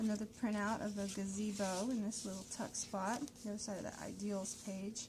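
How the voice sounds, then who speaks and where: A woman mumbles at a fairly quick pace and medium pitch, her intonation flat and monotone, with noticeable background noise and audible room echo. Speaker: crafter showing handmade journals. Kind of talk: product flip-through tutorial. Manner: mumbling; casual, halting with fillers.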